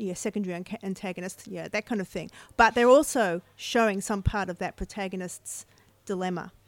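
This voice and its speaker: A plain, everyday voice comes at a fairly quick pace with ordinary pitch variation and big swings in loudness, recorded very clean, dry and close with no echo against a silent background. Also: woman, medium pitch for a woman. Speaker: author. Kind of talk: casual chat. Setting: bookstore with live audience.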